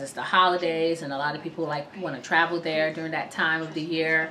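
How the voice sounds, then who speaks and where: A woman with a fairly low pitch and an American accent, against noticeable background noise. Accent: sounds American-born. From Sierra Leone until age 7, raised in US. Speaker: vlogger. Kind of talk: casual vlog talk. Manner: casual, frequent fillers.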